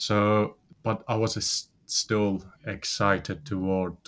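A man with a Persian accent speaks in a monotone, flat intonation. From Iran. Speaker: business founder. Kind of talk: interview. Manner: hesitant, with fillers.

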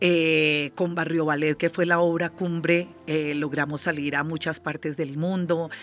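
With hardly any pauses, a woman speaks at a fairly slow pace in a very deep, low pitch and a monotone, flat intonation. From Colombia, Pacific region (Nariño), raised in Bogotá. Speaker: dance company director, former ballerina. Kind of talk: interview.

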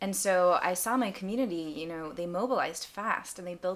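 With an American accent, a woman talks in an ordinary speaking voice at a medium pitch, a fairly quick pace, and ordinary pitch variation. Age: 20s. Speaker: charity founder, former aid volunteer. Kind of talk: casual interview.

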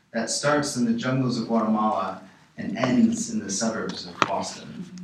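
With an American accent, a man talks at a fairly slow pace in very wide pitch swings, with audible room echo and noticeable background noise. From Chicago, US Midwest. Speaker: documentary filmmaker. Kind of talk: radio interview. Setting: radio studio.

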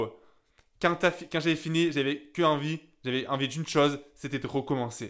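A man with an ordinary speaking voice, fairly high pitch, moderate pace and fairly even intonation, in a very clean recording with a silent background. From southern France, Gap (Hautes-Alpes). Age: 20s. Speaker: young entrepreneur. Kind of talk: personal monologue.

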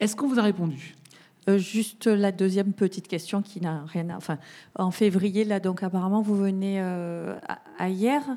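This woman's voice has a dark, mellow tone at a medium pitch, with ordinary pitch variation. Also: moderate pace. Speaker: audience member asking question. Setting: audience with microphone.

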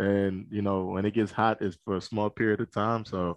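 A man with an American accent talks at a moderate pace in a fairly low voice. His intonation is monotone and flat. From Philadelphia. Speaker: college conference staffer. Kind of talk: casual interview.

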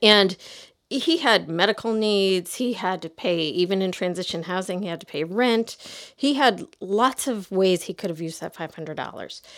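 With an American accent, a woman uses an unremarkable speaking voice at medium pitch, ordinary pitch variation and a moderate pace, in a very clean recording with a silent background. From US Midwest, outside Chicago. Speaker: author and church stewardship teacher. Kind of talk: interview.

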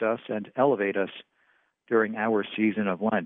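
A man speaks at a fairly quick pace with a medium pitch. He has an unremarkable speaking voice. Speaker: preacher. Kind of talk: sermon. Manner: formal.

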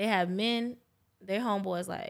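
In a very clean recording with a silent background, a woman with an American accent talks at a moderate pace with fairly even intonation. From New York. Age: young. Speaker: lash technician. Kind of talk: casual chat. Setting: studio.

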